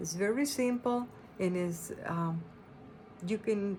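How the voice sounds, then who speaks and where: A woman speaks at a fairly slow pace with a medium-pitched voice. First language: not English. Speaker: quilting and embroidery pattern designer. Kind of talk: tutorial. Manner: halting, with many fillers.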